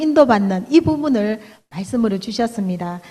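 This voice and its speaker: A woman with a strong Daegu accent speaks at a moderate pace in a fairly high, somewhat breathy voice with lively intonation. Her tone is dark and mellow, and the background is quiet. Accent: Gyeongsang (Daegu) dialect, fairly strong. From Daegu, South Korea. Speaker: church elder, hairdresser. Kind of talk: testimony sermon. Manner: halting, many fillers.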